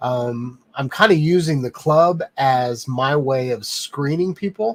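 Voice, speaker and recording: A man speaks in a relaxed, somewhat breathy tone at a fairly high pitch, with ordinary pitch variation and a fairly slow pace. The sound is dry and close with no echo, on a very clean recording with a silent background. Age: 40s. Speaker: live stream host, drone reviewer. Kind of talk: casual live stream chat. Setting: home office studio, live stream. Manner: many filler ums, relaxed.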